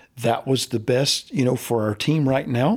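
A man of medium pitch with an unremarkable speaking voice talks at a fairly slow pace with fairly even intonation, on a very clean recording with a silent background. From US South, Central Florida. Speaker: baseball coach. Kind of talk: interview.

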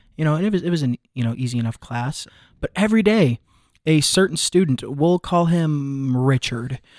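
At a moderate pace, the speaker has an unremarkable speaking voice in a very clean recording with a silent background. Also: man, fairly high pitch for a man. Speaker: college student. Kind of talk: casual chat. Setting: studio.

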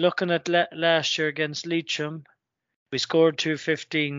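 With an Irish accent, a man speaks at a fairly high pitch in a monotone, flat intonation. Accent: Irish (Mayo). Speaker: sports podcast co-host. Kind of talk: casual chat.

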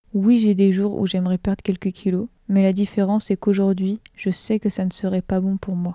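A woman's dark, mellow voice at a medium pitch, moderate in pace with hardly any pauses, monotone and flat in intonation, in a very clean recording with a silent background and a dry, close sound with no echo. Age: 20s. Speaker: nursing student. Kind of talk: testimony. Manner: reading aloud a written text.

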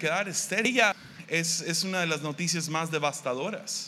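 Speaking at a moderate pace, the man has a fairly high pitch and a bright, sharp tone. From Mexico, Tepic, Nayarit. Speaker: pastor. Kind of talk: sermon. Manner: halting.

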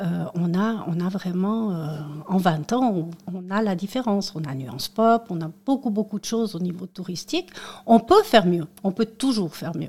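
At a moderate pace, the speaker shows big swings in loudness alongside ordinary pitch variation. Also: woman, medium pitch for a woman. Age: 50s. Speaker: local election candidate and tour guide. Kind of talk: radio interview. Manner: halting, with repetitions.

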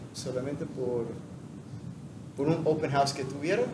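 A man talks with ordinary pitch variation, his voice carrying audible room echo over noticeable background noise. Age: 50s. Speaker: CrossFit athlete. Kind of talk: casual interview.

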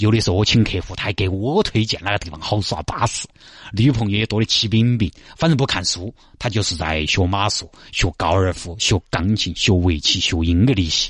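A fairly low-pitched male voice with a Sichuan accent, somewhat breathy, with ordinary pitch variation. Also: fairly quick pace. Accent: Sichuanese dialect. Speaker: radio traffic show host. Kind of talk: radio talk show commentary. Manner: animated.

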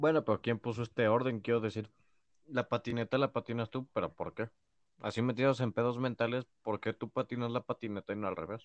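A man with a medium-pitched voice talks at a fairly quick pace, his intonation fairly even and the sound dry and close with no echo. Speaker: podcast co-host. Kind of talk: casual chat.

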